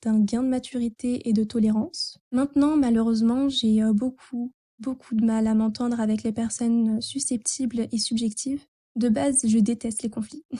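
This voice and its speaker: With a dark, mellow tone, a woman talks in fairly even intonation. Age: 20s. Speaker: listener. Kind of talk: reading aloud. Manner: formal.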